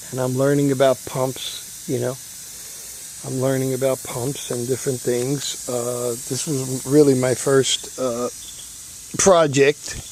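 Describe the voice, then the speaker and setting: The speech moves at a fairly slow pace with long, frequent pauses, set against noticeable background noise. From New York City (Bronx). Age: 60s. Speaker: hobbyist vlogger. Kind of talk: casual vlog talk. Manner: halting, many fillers.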